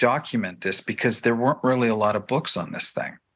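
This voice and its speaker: A man's medium-pitched, unremarkable speaking voice with a Canadian accent, at a fairly quick pace against a quiet background. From Canada, Toronto. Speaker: filmmaker. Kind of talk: interview.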